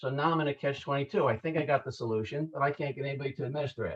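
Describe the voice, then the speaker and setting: A fairly high-pitched, somewhat breathy male voice. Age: 60s. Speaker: cancer survivor sharing health product testimonial. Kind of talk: testimony. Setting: group conference call. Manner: hesitant, many fillers and repeats.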